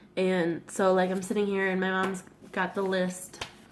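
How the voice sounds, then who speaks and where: A woman of medium pitch talks in a monotone, flat intonation while noticeable background noise carries on. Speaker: vlogger. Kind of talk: casual vlog talk. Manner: casual, filler-heavy.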